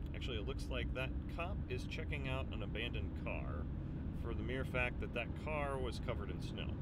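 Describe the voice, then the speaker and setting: Loud background noise surrounds a man talking at a moderate pace, his sound dry with no echo. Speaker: vlogger driving. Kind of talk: casual vlog chat. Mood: playful, joking. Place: car. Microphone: phone near.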